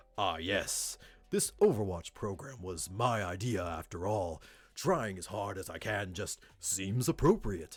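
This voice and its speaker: A man's put-on character voice at a fairly low pitch and a fairly slow pace. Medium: game stream. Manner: earnest, polite, nerdy.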